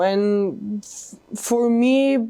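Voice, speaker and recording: A woman with a Macedonian accent speaks with fairly even intonation. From North Macedonia. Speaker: college tennis player. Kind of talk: interview. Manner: halting.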